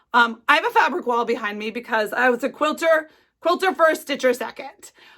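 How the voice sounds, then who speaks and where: A woman's high-pitched, raised and projected voice, bright and sharp in tone, at a fairly quick pace. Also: ordinary pitch variation. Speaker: cross-stitch vlogger. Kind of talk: casual chat. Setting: home craft studio.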